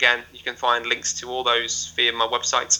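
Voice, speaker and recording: A man speaks at a medium pitch. He has a northwest English accent. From northwest England. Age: 20s. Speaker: adventurer and motivational speaker. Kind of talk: casual interview chat. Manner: hesitant, with stammer and repetitions.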